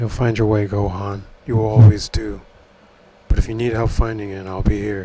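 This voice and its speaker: A man does a put-on character voice at a fairly low pitch and a moderate pace. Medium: read story. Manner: grim, terse.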